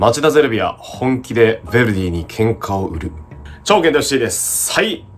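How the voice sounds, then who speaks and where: A man speaks with very wide pitch swings. Music plays in the background. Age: 30s. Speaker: football commentator. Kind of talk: casual talk to camera. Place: home room. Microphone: phone near.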